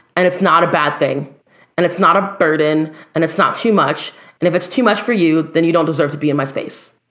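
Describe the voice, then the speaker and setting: A woman's plain, everyday voice at a fairly low pitch, with ordinary pitch variation, very even loudness and a fairly quick pace. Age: 30s. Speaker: singer and educator. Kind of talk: casual chat.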